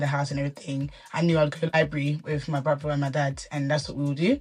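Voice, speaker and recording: In a very clean recording with a silent background, a woman talks at a very fast pace. Her pitch is very deep and low, her intonation monotone and flat, and her voice somewhat breathy. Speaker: children's book author. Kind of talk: interview.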